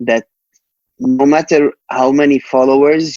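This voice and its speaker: In a Palestinian accent, a man with a fairly high pitch speaks at a very slow pace, recorded dry and close with no echo. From Jerusalem, Palestine. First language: Arabic. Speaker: rapper. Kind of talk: casual interview chat. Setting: podcast interview. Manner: halting, many repetitions and fillers.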